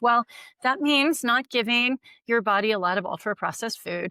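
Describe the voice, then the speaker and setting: A woman with a normal speaking voice talks at a moderate pace and a fairly high pitch, her intonation lively, on a very clean recording with a silent background and a dry, close sound with no echo. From United States. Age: 60s. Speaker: longevity expert. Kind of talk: interview.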